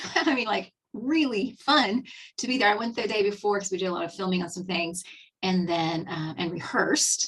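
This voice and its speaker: A woman speaks in a Texan accent at a medium pitch. Her pace is moderate and her intonation lively. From Texas. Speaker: skincare advisor. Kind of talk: webinar presentation. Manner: casual, filler-heavy.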